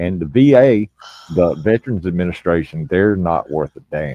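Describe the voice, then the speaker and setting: With an American accent, a man talks at a moderate pace in a very deep, low voice, his tone dark and mellow and his intonation lively. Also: dry, close sound with no echo. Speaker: military veteran, guest. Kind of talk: casual chat. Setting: live stream.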